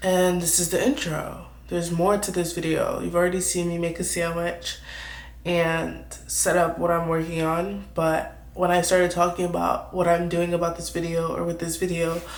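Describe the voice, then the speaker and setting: Audible room echo hangs on the words, which come at a moderate pace. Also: woman. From New York. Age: 20s. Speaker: YouTuber, artist. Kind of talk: casual vlog Q&A. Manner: casual, meandering.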